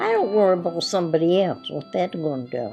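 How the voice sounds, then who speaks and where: With music in the background, a woman speaks at a medium pitch with lively intonation. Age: 80s+. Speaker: lobster fisherwoman. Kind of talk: interview answer.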